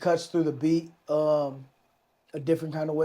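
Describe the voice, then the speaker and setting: A man's fairly high pitch paired with a dark, mellow tone. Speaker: rapper. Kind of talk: casual chat. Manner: laid back.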